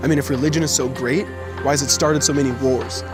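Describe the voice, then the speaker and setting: A man talks with lively intonation. Music plays in the background. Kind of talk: spoken word poetry performance.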